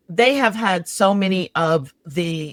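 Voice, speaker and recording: An ordinary speaking voice with an American accent and ordinary pitch variation comes through on a very clean recording with a silent background and a dry, close sound with no echo. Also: woman. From New York, the Bronx. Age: 60s. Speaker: resilience strategist. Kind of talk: casual chat.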